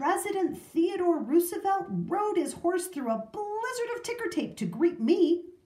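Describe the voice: A woman puts on a character voice with an extremely high pitch, a dark, mellow tone and big pitch swings, while audible echo fills the room. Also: fairly slow pace.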